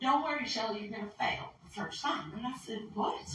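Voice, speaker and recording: A woman speaks loudly. Audible room echo surrounds her voice. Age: 60s. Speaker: wildlife tracker and conference presenter. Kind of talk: conference presentation.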